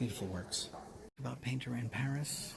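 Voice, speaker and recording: A man's whisper, somewhat breathy, at a fairly slow pace. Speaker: content creator. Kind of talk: gallery walk-through vlog. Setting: museum gallery. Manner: whispering.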